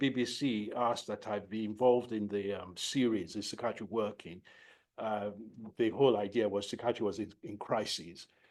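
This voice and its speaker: A man with a Nigerian accent speaks at a moderate pace over a quiet background. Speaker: professor of psychiatry. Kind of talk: lecture. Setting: lecture hall, no slides. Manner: repetitive, halting.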